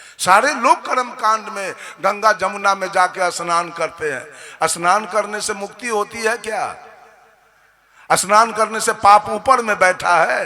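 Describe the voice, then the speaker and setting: Noticeable background noise surrounds a man speaking in a raised, projected voice. His pitch is high, with ordinary variation. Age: 60s. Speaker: religious preacher. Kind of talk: sermon. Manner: animated.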